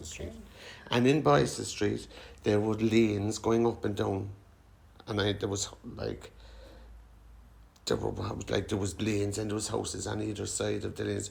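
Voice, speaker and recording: A man with a Cork accent speaks at a moderate pace, leaving long, frequent pauses. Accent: Cork Irish. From Cork City, Ireland. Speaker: social housing resident. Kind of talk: oral history interview answer.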